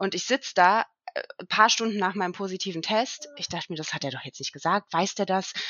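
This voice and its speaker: An unremarkable speaking voice at a fairly quick pace, with ordinary pitch variation and big swings in loudness. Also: woman, medium pitch for a woman. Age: 30s. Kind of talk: casual chat.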